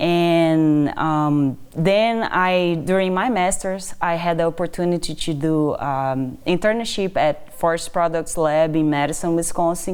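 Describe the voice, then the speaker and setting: With a Brazilian accent, a woman speaks at a fairly slow pace in a fairly low pitch, with ordinary pitch variation, very even loudness and hardly any pauses. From Brazil, Amazon region. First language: Portuguese. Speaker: assistant professor of wood science. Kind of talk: interview.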